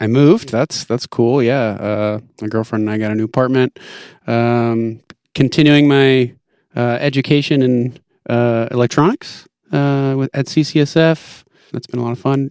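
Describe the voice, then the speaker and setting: On a very clean, dry, close recording with no echo and a silent background, a man in an unremarkable speaking voice talks at a moderate pace and medium pitch with fairly even intonation. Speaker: live sound podcast co-host. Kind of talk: casual podcast chat about audio.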